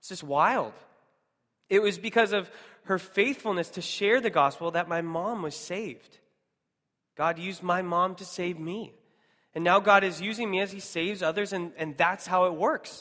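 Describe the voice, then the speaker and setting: Raised and projected, a man's high, bright, sharp voice with an American accent comes through a very clean recording with a silent background, marked by big swings in loudness, long, frequent pauses and ordinary pitch variation. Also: moderate pace. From US Pacific Northwest, Seattle. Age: 30s. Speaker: missionary church planter. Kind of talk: sermon.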